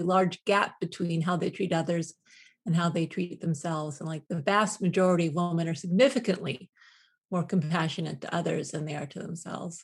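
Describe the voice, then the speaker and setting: Somewhat breathy and fairly low in pitch, a woman talks at a fairly quick pace over a quiet background. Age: 50s. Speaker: professor and self-compassion researcher. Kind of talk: interview.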